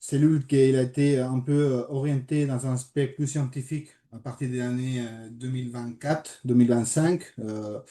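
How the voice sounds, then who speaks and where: At a moderate pace and with a slight Spanish accent, the voice has a dark, mellow tone and monotone, flat intonation. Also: man. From Spain. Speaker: sport psychologist. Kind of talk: online presentation. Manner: hesitant, many fillers.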